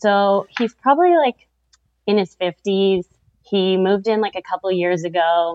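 Heard here is a plain, everyday voice with a Canadian accent and ordinary pitch variation. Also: woman. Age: 30s. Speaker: caller. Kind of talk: advice call.

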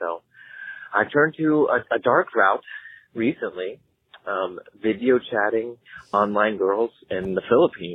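Speaking at a fairly slow pace with long, frequent pauses, a man uses lively intonation at a medium pitch. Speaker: caller. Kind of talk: testimony. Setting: phone call. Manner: halting.

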